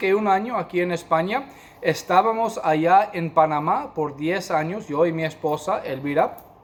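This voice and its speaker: The speaker has a non-native accent and ordinary pitch variation. The pace is fairly slow. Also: man. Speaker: pastor and missionary. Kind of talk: sermon. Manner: halting, many fillers.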